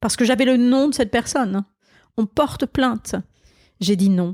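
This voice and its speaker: Very slow speech in a dark, mellow tone, with ordinary pitch variation, comes through dry and close with no echo in a very clean recording over a silent background. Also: woman. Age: 60s. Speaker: pastor. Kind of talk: interview. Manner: halting.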